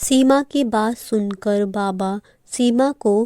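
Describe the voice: The delivery is plain reading aloud. Pitch variation is ordinary.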